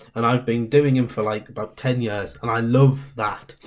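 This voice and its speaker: In a Northeast English accent, a man speaks at medium pitch and a moderate pace with monotone, flat intonation. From Northeast England. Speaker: comedian. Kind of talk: guest talk.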